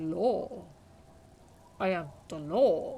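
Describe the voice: Guttural put-on character voice at a middle pitch, with audible echo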